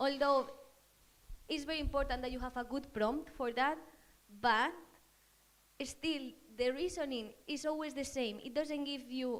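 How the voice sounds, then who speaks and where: In a Spanish accent, a woman speaks at high pitch with ordinary pitch variation. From Spain. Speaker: marketing manager, audience member. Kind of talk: audience question at panel talk. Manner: halting.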